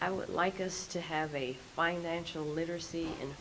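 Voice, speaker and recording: Amid noticeable background noise and audible room echo, a woman speaks in a very deep, low pitch with monotone, flat intonation. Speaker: city council member. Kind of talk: council budget workshop discussion.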